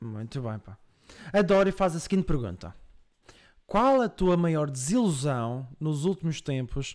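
In a Madeiran accent, the voice makes very wide pitch swings and big swings in loudness, with long, frequent pauses, on a very clean recording with a silent background. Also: man. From Madeira, Portugal. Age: 20s. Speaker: streamer and podcast host. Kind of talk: casual live-stream chat. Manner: animated.

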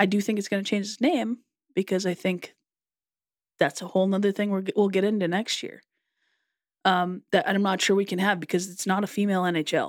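A woman talks at a fairly quick pace at a medium pitch, with fairly even intonation. Long pauses come often, and the recording is very clean with a silent background. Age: 30s. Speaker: podcast co-host. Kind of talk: casual chat.

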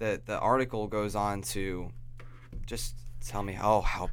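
This voice carries vocal fry and an American accent. Its pitch varies in an ordinary way. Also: man. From New York (upstate). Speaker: podcast host. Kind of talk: casual chat.

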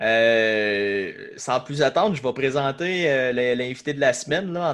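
A man with a plain, everyday voice and a medium pitch speaks with ordinary pitch variation on a very clean recording with a silent background. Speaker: podcast host. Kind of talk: casual chat.

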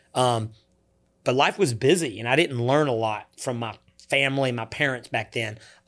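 A medium-pitched man in a Southern US accent, energetic in tone, at a moderate pace with ordinary pitch variation, on a very clean recording with a silent background. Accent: Southern US (Georgia). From US South, Georgia (Coweta County). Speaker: youth nonprofit founder. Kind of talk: interview.

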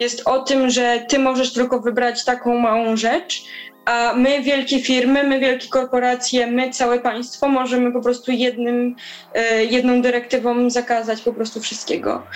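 A woman talks in a high pitch with monotone, flat intonation. Her loudness stays very even against noticeable background noise. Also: moderate pace. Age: 20s. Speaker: climate activist. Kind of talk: interview.

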